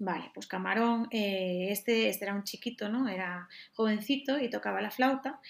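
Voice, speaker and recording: Noticeable background noise sits behind a woman whose fairly high pitch shows ordinary pitch variation. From Galicia, Spain. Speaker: jazz flautist. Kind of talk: casual interview.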